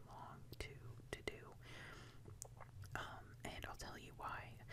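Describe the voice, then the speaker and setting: Whispering comes at a fairly slow pace. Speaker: ASMR creator. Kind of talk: soft-spoken ASMR ramble. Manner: soft-spoken.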